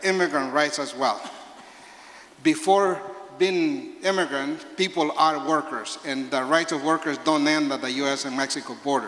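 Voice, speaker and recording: A man with a Spanish accent speaks at a moderate pace and a fairly high pitch, with fairly even intonation. Audible room echo and noticeable background noise surround him. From El Salvador. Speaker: labor organizer. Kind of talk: speech at a town hall. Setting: town hall with audience.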